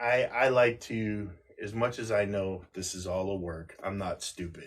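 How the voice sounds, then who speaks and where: Here is a man with a normal speaking voice and a fairly low pitch. He talks at a fairly slow pace with fairly even intonation. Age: middle-aged. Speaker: wrestling podcast co-host. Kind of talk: casual chat. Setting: livestream.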